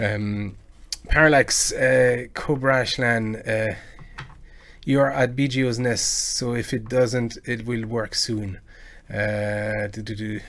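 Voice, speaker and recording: A man talks at a very slow pace and medium pitch. His intonation is fairly even, with noticeable background noise. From France. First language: French. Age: 40s. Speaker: video game music cover artist and live streamer. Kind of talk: casual live stream chat. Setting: live stream. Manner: halting, many fillers and repetitions.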